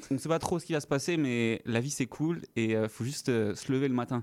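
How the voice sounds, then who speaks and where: At a fairly slow pace, a man talks with ordinary pitch variation on a very clean recording with a silent background. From French Guiana. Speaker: stage actor. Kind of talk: radio interview.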